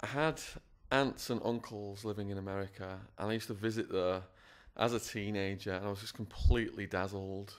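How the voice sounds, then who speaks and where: On a very clean recording with a silent background, a man with an English accent talks at a fairly low pitch with fairly even intonation. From northwest England (Widnes). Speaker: former prisoner, school speaker. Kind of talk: interview, personal testimony.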